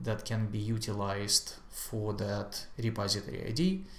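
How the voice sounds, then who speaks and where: Audible room echo around a man's medium-pitched, fairly slow speech. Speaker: software tutorial creator. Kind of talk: screen-share tutorial. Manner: hesitant, many fillers.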